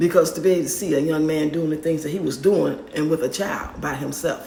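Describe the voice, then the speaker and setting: A woman talks at a very fast pace with fairly even intonation. Her very deep, low voice comes over noticeable background noise. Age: 50s. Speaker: grandmother raising grandkids. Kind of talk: casual story time to camera. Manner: candid, outspoken.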